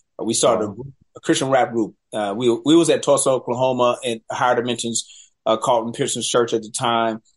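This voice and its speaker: A man's ordinary speaking voice at medium pitch, with an American accent, fairly even intonation and a fairly quick pace, against a quiet background. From US South, Charlotte, North Carolina. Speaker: film director. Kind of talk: interview.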